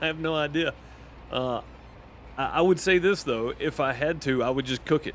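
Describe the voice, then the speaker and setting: A fairly high-pitched man with a Southern US accent and fairly even intonation. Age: 30s. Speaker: gaming streamer. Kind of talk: casual chat. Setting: live stream. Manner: halting.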